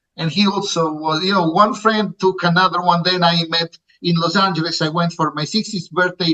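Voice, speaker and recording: A man with an Italian accent talks at a moderate pace with hardly any pauses, his high pitch carrying fairly even intonation. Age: 60s. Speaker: music producer. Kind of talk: interview. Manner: halting.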